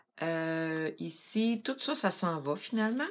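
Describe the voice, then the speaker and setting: With a fairly low pitch and ordinary pitch variation, a woman is heard in a very clean recording with a silent background. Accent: Quebec. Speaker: craft product demonstrator. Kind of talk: tutorial.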